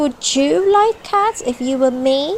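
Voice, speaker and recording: A woman's shrill, put-on character voice, high-pitched with very wide pitch swings, at a fairly slow pace. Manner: passionate, upset.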